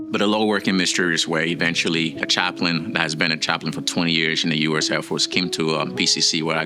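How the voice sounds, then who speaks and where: With music in the background, a man with a French accent talks very fast in a very deep, low pitch. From West Africa (Liberia, Guinea). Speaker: military chaplain. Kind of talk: testimony.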